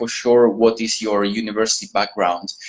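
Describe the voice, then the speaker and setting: A man's medium-pitched voice with an Italian accent, monotone and flat in intonation. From Italy. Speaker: university admissions manager. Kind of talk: interview. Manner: hesitant, many fillers.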